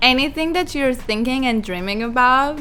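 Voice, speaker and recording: A woman speaks at a moderate pace. She has a non-native accent. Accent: foreign accent, being corrected. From Kazakhstan, Almaty. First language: Kazakh or Russian. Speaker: model. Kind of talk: podcast interview.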